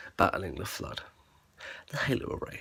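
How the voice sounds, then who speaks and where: Soft-spoken, a man talks at a very fast pace. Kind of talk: ASMR lore explainer, casual talk to camera.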